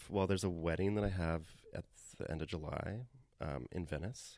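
With a Canadian accent, a man speaks at a fairly quick pace in a very deep, low-pitched voice. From Canada. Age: 30s. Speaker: painter and art teacher. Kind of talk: casual interview. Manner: halting, many fillers.

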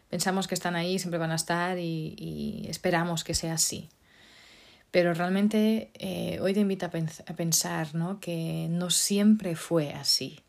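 A woman talks with monotone, flat intonation. The recording is very clean, with a silent background. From Portugal. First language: Portuguese (speaking Spanish). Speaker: podcast host. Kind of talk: solo talk podcast monologue. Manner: hesitant, many fillers.

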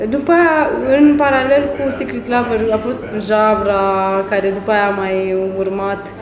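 A woman talks with audible room echo around her and noticeable background noise in the recording. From Romania, Suceava. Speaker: singer and violinist. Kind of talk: interview.

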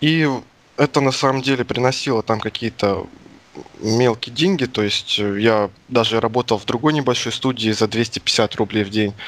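At a moderate pace, a man speaks in an unremarkable speaking voice with a medium pitch and ordinary pitch variation. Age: 20s. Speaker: indie game developer. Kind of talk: interview. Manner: casual.

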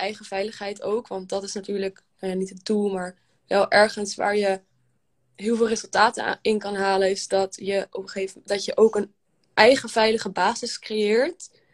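A woman at a moderate pace, with big swings in loudness and a monotone, flat intonation. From Netherlands, Amsterdam. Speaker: breathwork coach. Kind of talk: casual conversation. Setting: live stream video call.

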